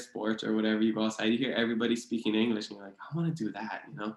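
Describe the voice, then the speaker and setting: A man's medium-pitched voice in a Hawaiian accent. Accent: Hawaii local English. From Hawaii (Hilo, Big Island). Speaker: author and podcast guest. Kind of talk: casual interview chat.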